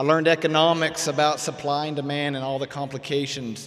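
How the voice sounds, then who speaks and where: With an American accent, a man speaks at a fairly quick pace in a fairly high voice with fairly even intonation, and there is noticeable background noise. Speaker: emergency management director, award recipient. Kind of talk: commencement speech. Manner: fast.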